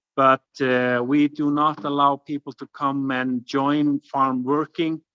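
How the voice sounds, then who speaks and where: In an Icelandic accent, a man talks very slowly at a fairly high pitch, his bright, sharp tone held to a flat monotone in dry, close sound with no echo. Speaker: farm guesthouse owner. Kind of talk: webinar presentation and Q&A. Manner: halting, many fillers.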